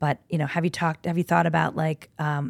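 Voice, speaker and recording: The voice carries vocal fry. The recording is very clean, with a silent background. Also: woman, dry, close sound with no echo. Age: 40s. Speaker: design studio owner. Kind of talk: casual interview chat. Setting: studio.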